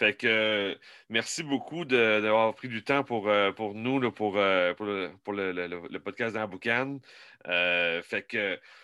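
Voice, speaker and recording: At a very slow pace, a man with a Quebec accent speaks in a fairly low pitch with a bright, sharp tone, dry and close with no echo, against a quiet background. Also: ordinary pitch variation. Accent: Québécois French. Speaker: barbecue podcast host. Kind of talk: casual interview.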